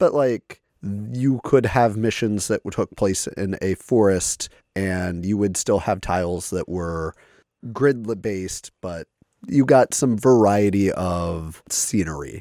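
On a very clean recording with a silent background and a dry, close sound with no echo, a man speaks at a very slow pace in a dark, mellow tone, his pitch fairly low with ordinary variation. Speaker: board game podcast co-host. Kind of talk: casual chat.

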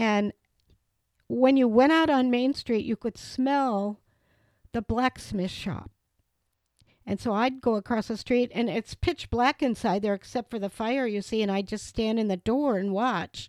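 A woman talks fairly slowly in a Wisconsin accent. The sound is dry and close, with no echo. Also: fairly high pitch for a woman, ordinary pitch variation, very clean recording, silent background. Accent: Upper Midwest (Wisconsin). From Wisconsin, Reedsburg. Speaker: local historian. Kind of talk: interview. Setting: in a home.

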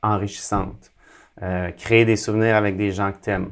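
In a flat monotone, a man speaks at a fairly low pitch. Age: 40s. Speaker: athlete and speaker. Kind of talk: interview. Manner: halting.

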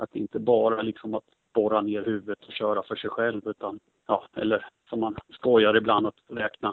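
The man's voice sits at a fairly low pitch. His intonation is monotone and flat. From Sweden, Motala (Östergötland). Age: 30s. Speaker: swimming coach. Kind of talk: interview. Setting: at the poolside. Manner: halting. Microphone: poor sound quality.

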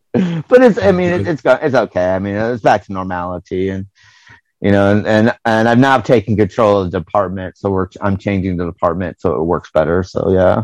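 In dry, close sound with no echo, a man with a plain, everyday voice and an American accent talks at a fairly quick pace and fairly low pitch, with ordinary pitch variation. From United States. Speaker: podcast host. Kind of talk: casual chat. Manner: casual, conversational.

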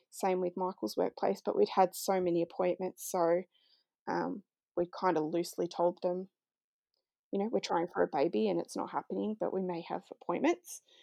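A woman's fairly low, dark, mellow voice with an Australian accent, lively intonation and a moderate pace, dry and close with no echo against a quiet background. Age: 30s. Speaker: IVF patient and mother. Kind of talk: interview testimony.

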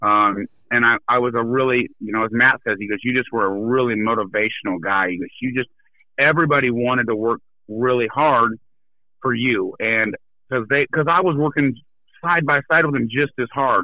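A plain, everyday voice with an American accent speaks at a moderate pace with ordinary pitch variation. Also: man, medium pitch for a man. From Iowa, US Midwest. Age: 40s. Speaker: business owner. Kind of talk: interview.

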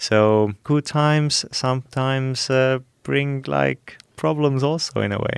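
With ordinary pitch variation, the delivery unfolds very slowly. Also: man, medium pitch for a man. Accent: Estonian. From Estonia. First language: Estonian. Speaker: youth council board member. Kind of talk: panel discussion. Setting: studio.

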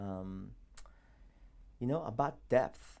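This man has a fairly low pitch and talks with an American accent. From South Korea, raised in US from age six. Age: 40s. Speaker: pastor. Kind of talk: casual interview.

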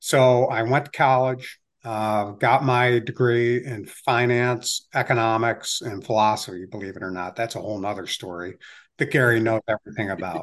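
A man with an American accent in an ordinary speaking voice, moderate pace, ordinary pitch variation and a quiet background. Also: medium pitch for a man. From Ohio, Cleveland area. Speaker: investor and entrepreneur. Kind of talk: interview conversation.

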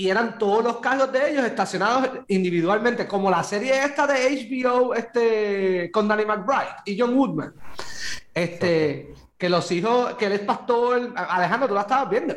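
The man's voice sits high. Its pitch variation is ordinary. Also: moderate pace. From Puerto Rico, Guaynabo. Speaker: podcast host. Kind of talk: casual chat.

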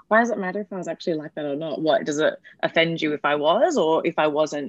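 Recorded with a dry, close sound and no echo, a woman in an Australian accent speaks fairly quickly with lively intonation and a fairly low pitch. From Perth, Western Australia. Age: 20s. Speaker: comedian. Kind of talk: casual chat.

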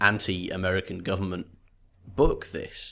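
Heard on a very clean recording with a silent background, a man with a British accent speaks at a moderate pace in a fairly low pitch, with ordinary pitch variation. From Great Britain. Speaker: podcast co-host. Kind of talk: casual chat.

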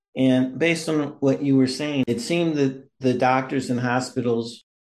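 This man has a plain, everyday voice with an American accent, pitched in the medium range. He talks at a moderate pace with ordinary pitch variation. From Missouri. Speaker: podcast host. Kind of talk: interview.

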